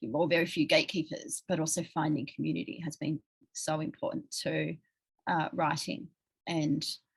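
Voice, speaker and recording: Using an Australian accent, a woman talks at a moderate pace. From rural New South Wales, Australia. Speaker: writer and interviewer. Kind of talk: interview conversation.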